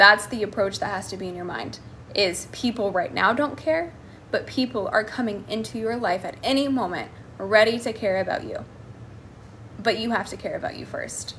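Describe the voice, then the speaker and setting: In a normal speaking voice with an American accent, the speaker keeps a moderate pace, ordinary pitch variation and big swings in loudness. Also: woman, fairly high pitch for a woman. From United States. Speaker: life coach. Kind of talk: live stream Q&A. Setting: live stream.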